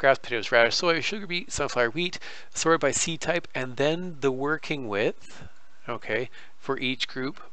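Audible room echo surrounds a man with a Canadian accent whose fairly high pitch carries a bright, sharp tone and ordinary pitch variation. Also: moderate pace. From Canada. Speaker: gaming YouTuber. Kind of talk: tutorial. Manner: halting, many fillers.

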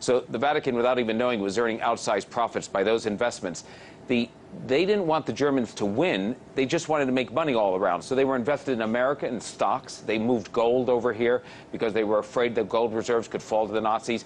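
Delivered at a very fast pace with very even loudness, the speech has light background noise. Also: man, ordinary pitch variation. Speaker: remote interview guest. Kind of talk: interview answer. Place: studio. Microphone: lapel.

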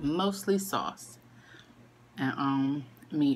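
A woman speaks with a very deep, low pitch and ordinary pitch variation. Noticeable background noise runs underneath. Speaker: mother vlogger. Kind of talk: casual mukbang vlog chat. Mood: relaxed, chatty. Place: home room. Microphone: phone near.

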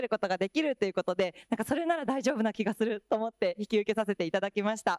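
A woman races along at a very fast pace with very wide pitch swings. Music plays in the background. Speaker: school staff member. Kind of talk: panel discussion. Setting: stage with audience. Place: hall. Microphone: handheld.

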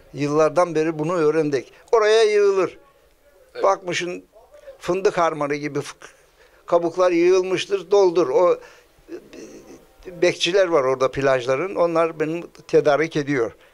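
Music plays in the background as a man speaks at a high pitch with ordinary pitch variation. He moves at a fairly slow pace, with long, frequent pauses. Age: 70s. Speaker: seashell craftsman. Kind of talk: interview answer. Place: shop. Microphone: handheld.

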